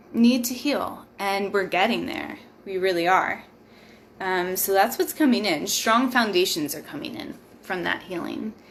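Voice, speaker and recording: In a room with audible echo, a woman speaks fairly slowly at a medium pitch with lively intonation. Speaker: tarot reader. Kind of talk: live tarot reading. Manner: casual, filler-heavy.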